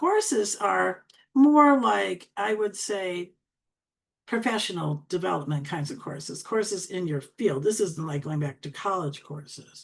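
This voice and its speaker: Speaking at a fairly slow pace, a woman with a medium pitch shows very wide pitch swings and big swings in loudness. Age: 70s. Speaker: LinkedIn coach. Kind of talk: tutorial.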